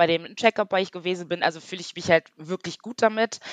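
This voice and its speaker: A woman at medium pitch with fairly even intonation, in a dry, close sound with no echo. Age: 30s. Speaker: online beauty industry worker, course participant. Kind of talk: interview. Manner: hesitant, many fillers.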